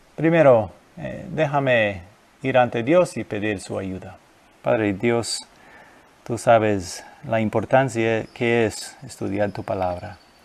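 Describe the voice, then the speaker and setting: Using lively intonation, a man with a non-native accent speaks at a medium pitch and a very slow pace, with long, frequent pauses. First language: not Spanish (speaking Spanish). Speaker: guest preacher. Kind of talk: sermon. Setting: recorded video at home. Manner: halting.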